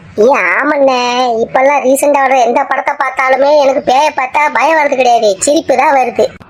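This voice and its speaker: A female-sounding, high-pitched, cartoonish character voice speaks at a moderate pace. Light background noise can be heard. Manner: chatty, teasing, colloquial.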